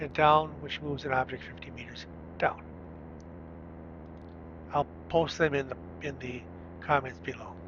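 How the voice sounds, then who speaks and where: A man with a medium pitch swings his pitch very widely and his loudness by big amounts. He keeps a moderate pace broken by long, frequent pauses. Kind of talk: screen-recorded tutorial narration.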